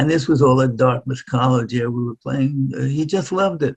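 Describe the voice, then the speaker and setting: With an American accent, a man talks at a moderate pace in a somewhat breathy voice. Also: dry, close sound with no echo. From New York City (Far Rockaway, Queens). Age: 90s. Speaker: violinist. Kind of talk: interview.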